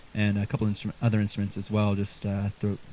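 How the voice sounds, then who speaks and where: This man's tone is dark and mellow. He speaks at a very fast pace. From Halifax, Nova Scotia, Canada. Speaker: folk singer-songwriter. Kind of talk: casual interview chat. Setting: basement live stream.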